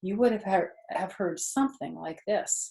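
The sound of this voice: At a moderate pace, a woman speaks with a dark, mellow tone and a slightly husky edge. There is vocal fry, and her pitch varies in an ordinary way. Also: medium pitch for a woman.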